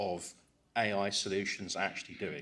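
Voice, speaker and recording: A man with an English accent speaks at a moderate pace. His voice carries vocal fry. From England. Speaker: cybersecurity conference speaker. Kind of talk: conference talk.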